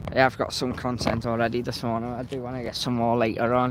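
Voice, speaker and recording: With noticeable background noise behind him, a man speaks at a medium pitch in a Liverpool accent at a fairly quick pace. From Liverpool, England. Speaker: planespotting live streamer. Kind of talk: live commentary.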